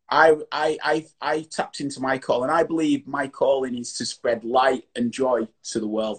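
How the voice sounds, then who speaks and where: This man has a medium pitch with ordinary pitch variation. The sound is dry and close with no echo. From Yorkshire, England. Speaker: online chat show host. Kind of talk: casual interview chat. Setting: video call.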